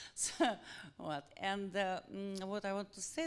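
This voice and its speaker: A woman speaks with a Russian accent. The recording is very clean, with a silent background. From Russia, Saint Petersburg. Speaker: publisher. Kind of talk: audience question at book event. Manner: halting. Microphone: held too far from mouth.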